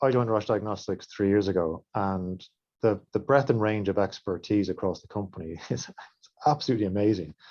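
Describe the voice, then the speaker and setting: Speaking in an Irish accent, a man talks at a moderate pace with a fairly low pitch. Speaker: industry mentor at diagnostics company. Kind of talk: webinar panel remarks.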